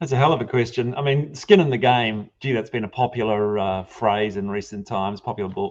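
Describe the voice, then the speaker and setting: Male speaker at a fairly quick pace with hardly any pauses. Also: medium pitch for a man, ordinary pitch variation. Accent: New Zealand. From New Zealand. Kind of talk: panel discussion.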